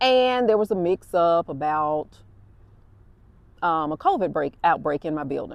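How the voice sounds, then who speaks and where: A woman with an Alabama accent speaks at a fairly low pitch, animated and with lively intonation. She goes at a fairly slow pace with long, frequent pauses, in a dry, close sound with no echo. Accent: Southern US (Alabama). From US South, Alabama. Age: 60s. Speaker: podcast host and nurse. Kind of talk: casual monologue, storytelling. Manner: conversational, animated.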